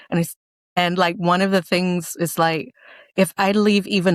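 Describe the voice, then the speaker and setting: In a normal speaking voice, a woman talks at a fairly low pitch and fairly slow pace with fairly even intonation, on a very clean recording with a silent background and a dry, close sound with no echo. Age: 60s. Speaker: children's audio author and media business owner. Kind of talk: casual interview.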